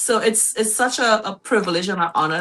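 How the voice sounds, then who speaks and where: Someone speaks with a Trinidadian accent over noticeable background noise. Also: woman. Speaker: guest, mother and small business owner. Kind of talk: talk show interview. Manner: hesitant, with fillers.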